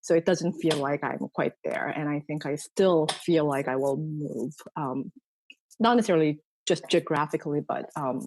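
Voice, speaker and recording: A woman with a Korean accent speaks at a very deep, low pitch and a moderate pace, with ordinary pitch variation. The sound is dry and close with no echo, against a quiet background. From South Korea, partly raised in Sri Lanka. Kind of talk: casual interview conversation. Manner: hesitant, many fillers.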